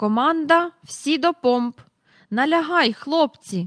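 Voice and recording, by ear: A woman uses a put-on character voice, high and fairly bright with lively intonation, at a slow pace in a dry, close sound with no echo.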